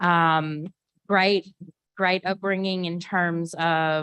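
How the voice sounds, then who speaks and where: In a dry, close recording with no echo and a quiet background, a woman with a Southern US accent speaks very slowly in a fairly low, monotone, flat voice. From Arkansas. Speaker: history professor. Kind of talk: panel discussion.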